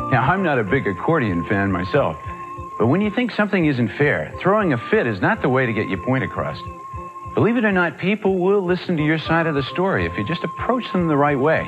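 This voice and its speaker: The pitch swings very widely at a fairly quick pace. Clear music plays in the background. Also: man, fairly high pitch for a man. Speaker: actor. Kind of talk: public service announcement host. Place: studio.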